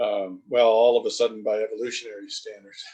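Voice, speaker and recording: A man with an American accent talks at a moderate tempo. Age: 60s. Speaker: wildlife biologist. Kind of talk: interview. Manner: hesitant, many fillers.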